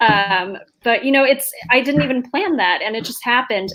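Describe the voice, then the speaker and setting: A woman speaks with an American accent at a moderate pace. Her tone is bright and sharp, with ordinary pitch variation. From New York, US. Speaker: author. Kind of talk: panel discussion.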